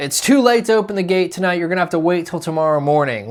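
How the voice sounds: Shouting over noticeable background noise in a gruff, high-pitched put-on character voice, a man talks at a very fast pace.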